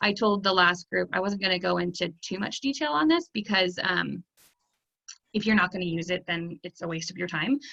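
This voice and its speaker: A woman at a medium pitch and fairly quick pace, with ordinary pitch variation and a dry, close sound with no echo. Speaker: online teacher and trainer. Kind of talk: training session. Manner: fast.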